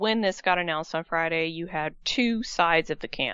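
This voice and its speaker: With a plain, everyday voice, a woman speaks at a fairly low pitch and with ordinary pitch variation. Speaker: radio host. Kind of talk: radio show banter. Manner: upbeat, fast-paced radio-DJ patter with show plugs.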